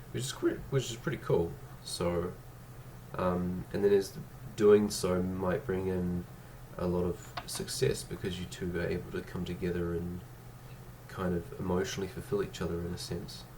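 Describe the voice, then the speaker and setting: A man speaks at a moderate pace with a very deep, low pitch and ordinary pitch variation. Long, frequent pauses break up his speech over noticeable background noise. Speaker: tarot card reader. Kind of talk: tarot reading to camera.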